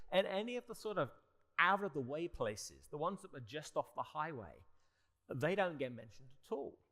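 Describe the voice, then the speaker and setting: This man's bright, sharp voice sits fairly high and swings very widely in pitch, with a British accent. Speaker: barrister and panelist. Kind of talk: panel discussion. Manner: halting, with repeated restarts.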